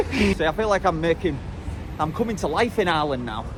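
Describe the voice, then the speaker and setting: Amid noticeable background noise, a man speaks in an animated tone with lively intonation. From northern England, Hull. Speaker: travel vlogger. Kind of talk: casual vlog talk to camera.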